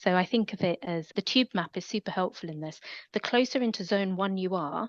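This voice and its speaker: In a London accent, a woman speaks with ordinary pitch variation. The sound is dry and close with no echo, over a quiet background. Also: medium pitch for a woman, fairly quick pace. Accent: London accent, noted by self. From London, England. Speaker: academic. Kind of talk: interview.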